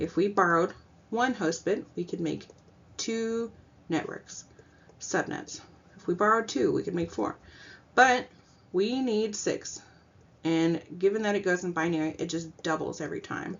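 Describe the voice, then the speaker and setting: A woman at medium pitch with ordinary pitch variation, a moderate pace and long, frequent pauses. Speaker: student. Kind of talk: class presentation.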